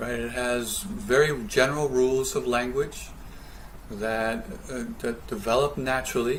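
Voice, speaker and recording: A man with a Canadian accent talks at a moderate pace, with audible room echo and noticeable background noise. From Canada. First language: Spanish. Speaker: professor. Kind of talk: lecture. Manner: hesitant, many fillers.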